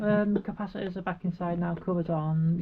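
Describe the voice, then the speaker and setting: A woman speaks at a fairly low pitch in a somewhat breathy voice with fairly even intonation. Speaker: workshop DIY vlogger. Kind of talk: casual workshop vlog narration. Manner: talks quietly at times.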